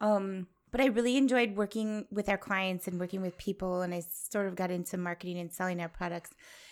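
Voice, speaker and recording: An ordinary speaking voice with an American accent moves at a fairly quick pace over a very clean recording with a silent background. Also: woman, medium pitch for a woman, fairly even intonation, hardly any pauses. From Wisconsin. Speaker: farmer and grazing educator. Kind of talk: interview. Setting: at her farmhouse.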